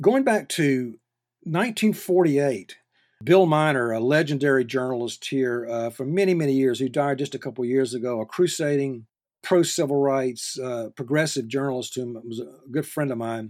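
This man has a Southern US accent. He talks at a moderate pace. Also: medium pitch for a man, ordinary pitch variation. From North Carolina. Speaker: journalism professor. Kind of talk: interview. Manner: halting.

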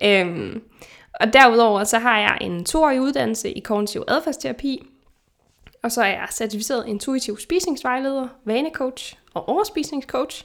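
A woman's voice is high in pitch, her intonation lively and her pace fairly slow. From Denmark. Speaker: podcast host, nutritionist. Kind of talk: casual chat. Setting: remote recording.

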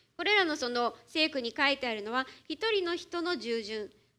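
The voice is raised and projected, bright and sharp in tone, with very wide pitch swings. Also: woman. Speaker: church interpreter. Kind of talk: sermon interpretation. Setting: church.

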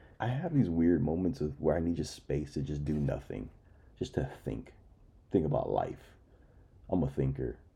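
A man with a very deep, low voice speaks at a moderate pace, his dark, mellow tone carrying vocal fry and ordinary pitch variation, broken by long, frequent pauses. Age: 30s. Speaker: podcast host. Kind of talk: casual monologue.

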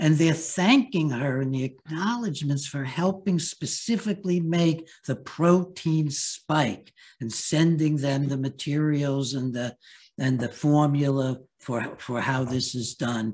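Somewhat breathy, a man with a fairly high pitch speaks at a fairly slow pace with ordinary pitch variation. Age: 80s+. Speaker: psychiatrist and author. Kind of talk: interview. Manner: halting.

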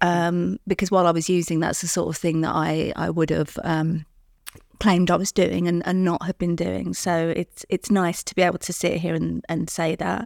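With a London accent, a woman talks at a moderate pace in a fairly low pitch and monotone, flat intonation, recorded very cleanly against a silent background with a dry, close sound and no echo. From London, England. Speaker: recovering addict sharing her story. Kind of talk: interview testimony.

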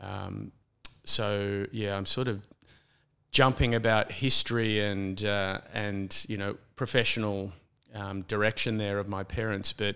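A man with an Australian accent speaks at a fairly slow pace in a monotone, flat intonation. The recording is very clean, with a silent background. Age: 50s. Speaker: landscape architect. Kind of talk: interview conversation.

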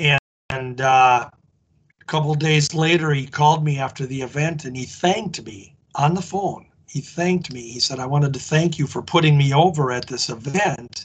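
A somewhat breathy man with an American accent and a fairly high pitch talks at a moderate pace, with big swings in loudness and ordinary pitch variation. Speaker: wrestling historian. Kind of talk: interview.

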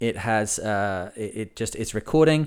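Very clean recording, silent background. A man's fairly low voice moves at a moderate pace with ordinary pitch variation. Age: 40s. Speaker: sailing podcast host. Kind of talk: casual solo monologue. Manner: hesitant, many fillers.

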